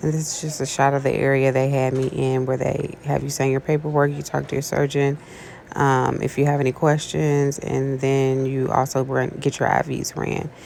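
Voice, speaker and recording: A soft-spoken woman with a very deep, low pitch, a moderate pace and monotone, flat intonation over noticeable background noise. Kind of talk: casual personal vlog.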